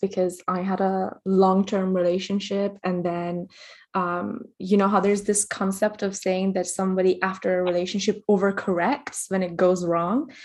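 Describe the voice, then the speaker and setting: A woman with a normal speaking voice is heard against a quiet background. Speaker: interviewer. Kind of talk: interview conversation.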